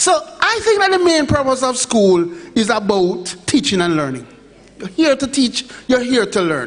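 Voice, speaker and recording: At a moderate pace, the voice swings very widely in pitch against noticeable background noise. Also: man. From Jamaica, Montego Bay. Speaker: education official presenter. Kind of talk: conference presentation.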